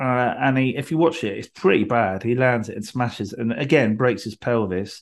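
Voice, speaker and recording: In a normal speaking voice at a moderate pace, the speaker uses ordinary pitch variation and hardly any pauses over a quiet background. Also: man, medium pitch for a man. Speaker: podcast host. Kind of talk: casual chat. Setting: video call.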